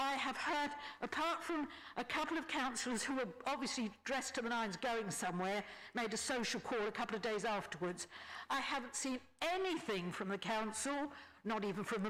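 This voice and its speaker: High-pitched, a woman talks with lively intonation. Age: 70s. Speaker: resident affected by flooding. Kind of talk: public meeting testimony. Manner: halting, with repeated false starts.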